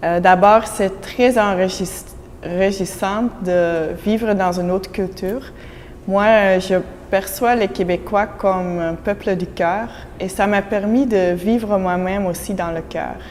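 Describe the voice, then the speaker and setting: In a Dutch accent, a woman of medium pitch speaks at a very slow pace with fairly even intonation. Noticeable background noise runs underneath. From Belgium (Flemish). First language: Dutch (speaking French). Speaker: immigrant employee. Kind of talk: interview testimony.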